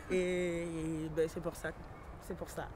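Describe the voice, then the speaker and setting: With noticeable background noise, a woman speaks at a fairly slow pace. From France (arrived at eight). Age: 20s. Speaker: young immigrant mother, visitor at detention centre. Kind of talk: documentary interview.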